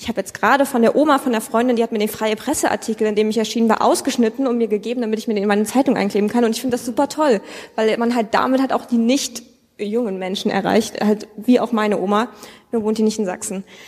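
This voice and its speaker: Through noticeable background noise, a woman with a fairly high pitch talks at a very fast pace with fairly even intonation. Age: 20s. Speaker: young state politician. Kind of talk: live panel discussion. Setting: stage with audience.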